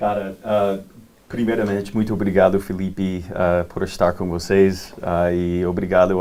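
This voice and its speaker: Very deep and low in pitch, a man's voice has a dark, mellow tone and monotone, flat intonation at a fairly slow pace. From Texas. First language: English (speaking Portuguese). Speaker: farmland investment manager. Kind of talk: panel discussion. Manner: halting, many fillers.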